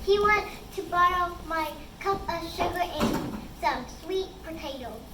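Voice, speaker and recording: A put-on character voice that sounds female, pitched extremely high and delivered at a fairly slow pace. Clear background noise and a slight echo sit behind it. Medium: stage play.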